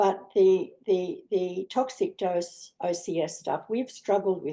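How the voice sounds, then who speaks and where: A woman with an Australian accent. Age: 70s. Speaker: asthma patient advocate on a panel. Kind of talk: panel discussion.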